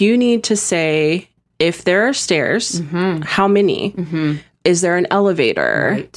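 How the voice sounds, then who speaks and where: In an unremarkable speaking voice, a woman talks at a fairly slow pace with a fairly low pitch, ordinary pitch variation and very even loudness. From San Diego, California. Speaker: esthetician. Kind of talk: casual chat.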